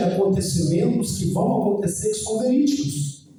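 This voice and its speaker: Amid audible room echo, a man with a high voice speaks at a fairly slow pace with ordinary pitch variation. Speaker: preacher. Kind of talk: sermon.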